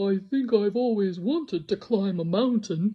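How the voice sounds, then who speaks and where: A woman's put-on character voice at a medium pitch. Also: moderate pace. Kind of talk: bedtime story. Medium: read story. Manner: gentle, wondering.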